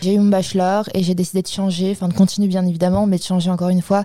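A woman's dark, mellow tone stays monotone and flat. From Paris region, France. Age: 20s. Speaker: work-study student in IT. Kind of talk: interview. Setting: studio.

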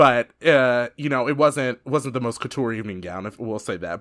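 A man with an American accent speaks at a medium pitch and moderate pace, with hardly any pauses and lively intonation. His tone is bright and sharp, in a very clean recording with a silent background. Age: 30s. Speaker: drag performer and author. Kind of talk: interview. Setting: studio. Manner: upbeat.

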